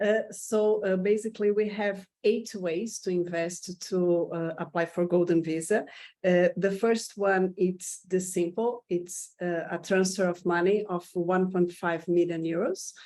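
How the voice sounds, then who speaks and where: A dark, mellow tone with a Portuguese accent and fairly even intonation. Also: woman, medium pitch for a woman. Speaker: immigration consultant. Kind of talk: informational presentation. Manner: halting.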